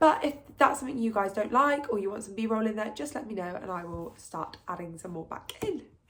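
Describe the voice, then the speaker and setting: Speaking fairly quickly with hardly any pauses, a woman with an English accent uses a fairly high pitch, lively intonation and big swings in loudness against noticeable background noise. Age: 20s. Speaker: book vlogger. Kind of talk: casual vlog talk to camera. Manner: chatty.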